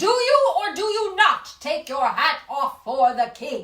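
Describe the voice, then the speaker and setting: A woman's put-on character voice, extremely high-pitched, with very wide pitch swings and a fairly slow pace. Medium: read story. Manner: commanding, imperious.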